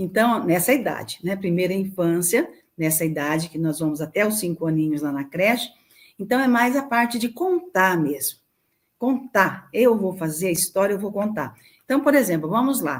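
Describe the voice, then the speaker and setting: Speaking at a moderate pace, a woman uses a medium pitch with very wide pitch swings. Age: 70s. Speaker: childcare charity director. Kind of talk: interview.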